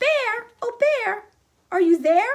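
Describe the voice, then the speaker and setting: In a put-on character voice, a woman sounds squeaky and extremely high in pitch. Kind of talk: bedtime story. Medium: read story.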